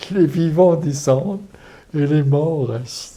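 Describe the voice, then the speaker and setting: A man's very slow, somewhat breathy speech with a dark, mellow tone and ordinary pitch variation. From France. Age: 80s+. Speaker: former resistance fighter and concentration camp deportee. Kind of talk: interview answer.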